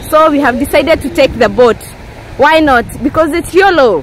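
A woman's high-pitched voice at a moderate pace, with a dry sound with no echo and light background noise. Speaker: travel vlogger. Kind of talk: casual vlog chat. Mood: cheerful, relaxed. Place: beach. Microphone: phone near.

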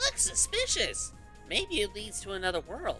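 Someone performs a put-on character voice while music plays clearly in the background.

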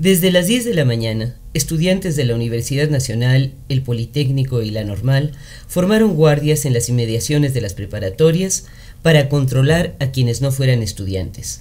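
The man's voice carries a somewhat breathy quality. His intonation rises and falls in a lively way. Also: moderate pace. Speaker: radio chronicle narrator. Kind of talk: radio chronicle narration, historical news-style reading. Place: studio.

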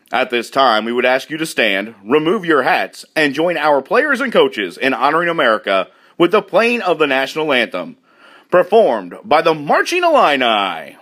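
Fairly high-pitched, this man's voice has a bright, sharp tone and vocal fry. He moves at a moderate pace with very wide pitch swings. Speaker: PA announcer. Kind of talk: stadium PA welcome announcement.

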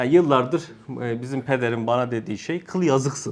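He has an ordinary speaking voice at a medium pitch. The man talks at a moderate pace with lively intonation. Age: 30s. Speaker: religious study circle teacher. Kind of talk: religious lesson to a group. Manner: casual, joking.

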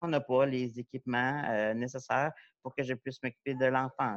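A man speaks with fairly even intonation in a dry sound with no echo against a quiet background. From Quebec. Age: 40s. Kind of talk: panel talk. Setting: video call. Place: home room. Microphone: earbuds.

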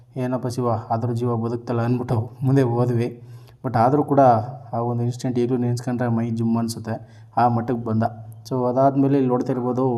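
Amid noticeable background noise, a man talks at medium pitch in a monotone, flat intonation. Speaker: vlogger. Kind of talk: vlog narration. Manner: casual.

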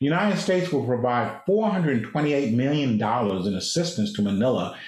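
Against a quiet background with audible room echo, a man speaks in a somewhat breathy, fairly high voice. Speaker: diplomat, former ambassador. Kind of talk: slide presentation. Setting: video call. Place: office. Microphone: video call.

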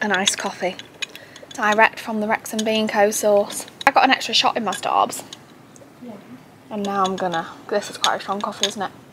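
A woman speaks in an animated tone at a medium pitch and a fairly quick pace, with long, frequent pauses. Her loudness swings widely over noticeable background noise. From North Wales. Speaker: vlogger. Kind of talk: casual vlog monologue. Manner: chatty, animated.

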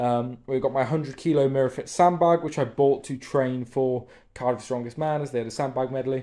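A man's dark, mellow voice at a fairly quick pace, monotone and flat in intonation, over a quiet background. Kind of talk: casual vlog chat, gym tour. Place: garage. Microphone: phone near.

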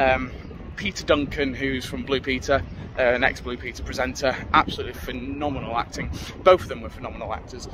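A man talks at a fairly quick pace in a dry recording with no echo and noticeable background noise. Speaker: vlogger reviewing a play. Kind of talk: casual vlog chat. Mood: enthusiastic, mildly annoyed. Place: street. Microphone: phone near.

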